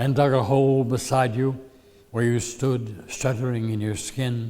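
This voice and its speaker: A man with an American accent has an ordinary speaking voice at medium pitch. He talks fairly slowly with fairly even intonation. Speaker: poet. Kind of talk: poetry reading.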